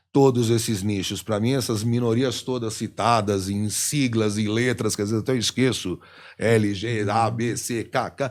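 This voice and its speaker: Here a man talks at a moderate pace and medium pitch in a flat, monotone way. The recording is very clean, with a silent background. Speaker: radio host and voice actor (dubbing). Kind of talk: casual interview answer.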